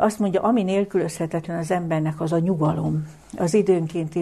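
Somewhat breathy and dark, mellow in tone, a woman speaks at a moderate pace with a fairly low pitch and fairly even intonation. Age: 70s. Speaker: lecturer on the Bible. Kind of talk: lecture. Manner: formal.

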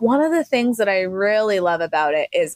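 A woman with an American accent and an unremarkable speaking voice talks at medium pitch and a moderate pace with lively intonation, the sound dry and close with no echo. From Army brat, mostly southern Arizona. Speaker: emergency physician. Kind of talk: interview conversation.

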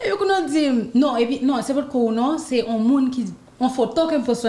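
A woman at a fairly quick pace, her intonation lively, against noticeable background noise. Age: 20s. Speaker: professional dancer and student. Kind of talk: interview.

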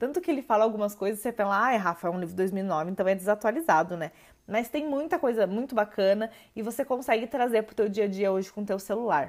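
In a very clean recording with a silent background, a woman talks very fast in a fairly high voice with lively intonation. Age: 20s. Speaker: podcast host. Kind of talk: solo podcast monologue. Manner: casual, hesitant with filler words.

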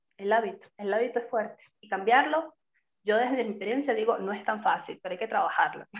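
A woman has an ordinary speaking voice with fairly high pitch and ordinary pitch variation. She talks at a fairly quick pace with big swings in loudness. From Venezuela. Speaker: podcast co-host. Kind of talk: casual chat.

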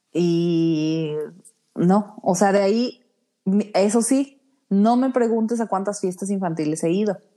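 A woman with a dark, mellow tone at medium pitch and ordinary pitch variation, very slow, with long, frequent pauses. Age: 30s. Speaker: podcast co-host. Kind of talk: casual chat.

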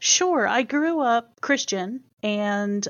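A woman with a slight Southern US accent talks with lively intonation. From US South, Chesapeake, Virginia. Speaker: university Title IX coordinator. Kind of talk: interview. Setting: studio.

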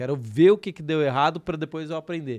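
A man's fairly high, plain, everyday voice, fairly quick in pace with ordinary pitch variation, over a quiet background. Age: 30s. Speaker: personal finance educator. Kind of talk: casual podcast interview.

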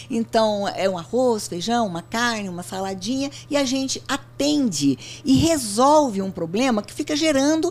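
This woman's voice is somewhat breathy, and her pitch swings very widely. She talks at a fairly slow pace. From Brazil, interior of São Paulo state (Barretos). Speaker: company founder and CEO. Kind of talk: interview.

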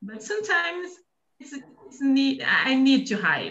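High-pitched with very wide pitch swings, a woman speaks in a Brazilian accent. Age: 40s. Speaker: micro entrepreneur and announcer. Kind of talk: casual conversation practice. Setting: video call.

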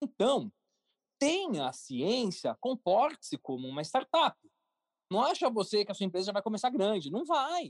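A man speaks in a high pitch at a moderate pace. His pitch swings very widely, and the sound is dry and close with no echo. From São Paulo, Brazil. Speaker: entrepreneur, cartoon creator. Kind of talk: interview. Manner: casual.

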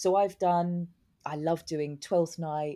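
A woman with a southern English accent, a dark, mellow tone and a fairly low pitch, at a moderate pace with fairly even intonation, on a very clean recording with a silent background. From southern England, Newbury in Berkshire. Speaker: stage actor. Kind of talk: interview.

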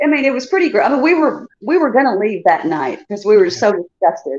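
A woman's fairly high voice at a very fast pace, with very wide pitch swings. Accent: American. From Chicago. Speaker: contestant guest. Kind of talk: casual storytelling.

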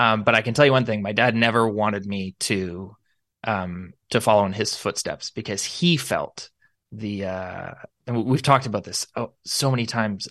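Speaking in a normal speaking voice with a Canadian accent, a man talks at a fairly quick pace with ordinary pitch variation against a quiet background. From Canada, Niagara Falls, Ontario. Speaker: pastor and coffee shop owner. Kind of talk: casual chat. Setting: video call.

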